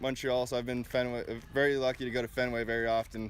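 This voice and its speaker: A man speaks at a fairly quick pace. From Quebec, Canada. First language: French. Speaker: college baseball pitcher. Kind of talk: interview.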